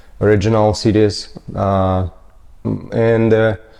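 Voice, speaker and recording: In a Ukrainian accent, a man speaks very slowly at a fairly low pitch, with a dark, mellow tone and fairly even intonation. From Ukraine (Mariupol). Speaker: general contractor. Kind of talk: interview, life story. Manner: halting, many fillers.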